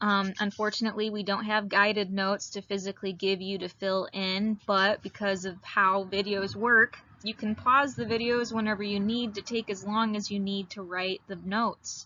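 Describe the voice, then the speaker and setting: Speaking with a northern Midwestern US accent at a moderate pace, the voice is monotone and flat with hardly any pauses. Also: woman, medium pitch for a woman. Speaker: high school biology teacher. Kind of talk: recorded lecture. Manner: casual with frequent fillers.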